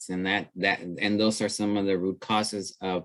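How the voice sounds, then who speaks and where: Speaking with an American accent, a man with a very deep, low pitch keeps a moderate pace and fairly even intonation. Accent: slight accent, noted by others. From Texas, Rio Grande Valley (Brownsville). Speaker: trainer, webinar presenter. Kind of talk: webinar presentation and discussion.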